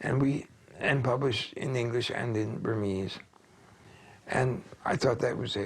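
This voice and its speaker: A somewhat breathy man with an American accent speaks at a fairly slow pace with long, frequent pauses and ordinary pitch variation. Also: medium pitch for a man. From United States. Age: 80s+. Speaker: political scholar. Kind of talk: interview answer. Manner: soft-spoken, quiet.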